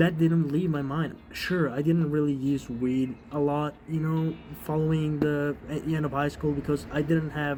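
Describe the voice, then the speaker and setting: Against noticeable background noise, a man with a fairly high voice speaks at a moderate pace with fairly even intonation. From Europe. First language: non-English European language. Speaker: vlogger. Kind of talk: personal testimony. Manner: casual, halting with many fillers.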